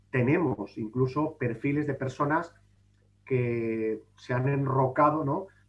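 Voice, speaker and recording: In an unremarkable speaking voice, a man talks at medium pitch with ordinary pitch variation. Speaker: public administration official and speaker. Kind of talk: conference talk. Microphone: brief connection drop.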